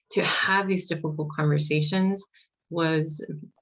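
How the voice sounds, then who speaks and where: A woman with an American accent speaks at a moderate pace. Her pitch is very deep and low, and her voice is somewhat breathy. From US, Mexican American family. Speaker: early childhood mental health consultant. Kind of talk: conference panel discussion. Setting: conference panel. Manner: hesitant, many fillers.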